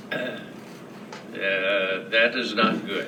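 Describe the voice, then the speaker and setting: With an American accent, a man talks in a room with audible echo and noticeable background noise. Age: 80s+. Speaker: bank founder and CEO. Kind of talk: speech to a club audience. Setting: club luncheon with audience. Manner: slow, halting speech from ALS; slow.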